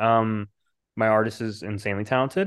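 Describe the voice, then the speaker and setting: Fairly even in intonation, a man speaks in an unremarkable speaking voice at a medium pitch. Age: 30s. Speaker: comic book writer and publisher. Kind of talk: casual chat.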